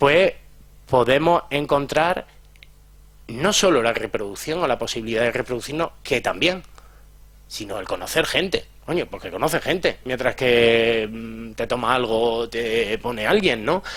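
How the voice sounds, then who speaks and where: A medium-pitched man with vocal fry, fairly slow, with lively intonation. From Andalusia, Jaén and Granada. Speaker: psychologist and sex educator. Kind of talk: conference talk. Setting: lecture hall with audience. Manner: clipped, drops word endings.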